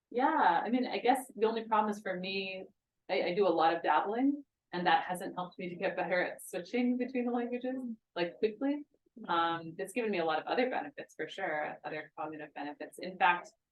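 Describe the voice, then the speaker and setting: A woman's plain, everyday voice at a medium pitch and a fairly quick pace. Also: lively intonation. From United States. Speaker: linguist. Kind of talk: talk with audience Q&A.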